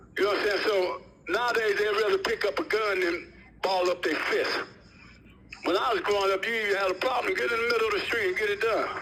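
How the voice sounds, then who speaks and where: A raised, projected voice moves at a very fast pace with very even loudness over noticeable background noise. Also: man, high pitch for a man, ordinary pitch variation. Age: 60s. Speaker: prison inmate, gang founder. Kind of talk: interview.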